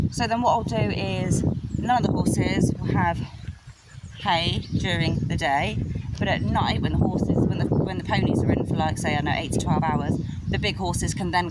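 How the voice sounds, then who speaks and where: A woman speaks at a fairly quick pace, with audible room echo and noticeable background noise. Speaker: horse owner vlogger. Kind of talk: casual vlog. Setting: outdoors. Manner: fast.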